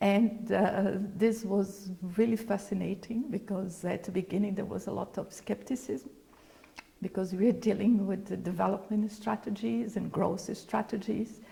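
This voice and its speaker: Her intonation fairly even, a woman speaks at a moderate pace and a medium pitch. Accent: Brazilian Portuguese. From Brazil. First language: Portuguese. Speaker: former UN official, creative economy expert. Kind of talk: interview.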